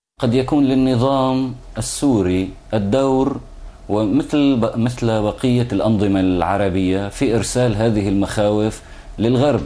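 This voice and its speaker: A man speaks at a medium pitch with ordinary pitch variation and very even loudness. His pace is very slow, and there is audible room echo. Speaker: opposition activist. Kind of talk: interview. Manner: halting.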